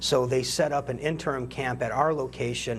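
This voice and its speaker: With audible room echo around him, a man speaks at a moderate pace and fairly high pitch, his intonation fairly even. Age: 40s. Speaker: military veteran. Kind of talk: interview.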